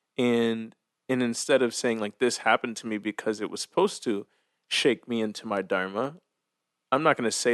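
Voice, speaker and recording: Sounding dry and close with no echo, a man of medium pitch talks at a moderate pace with fairly even intonation. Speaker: meditation coach and teacher. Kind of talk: casual interview conversation.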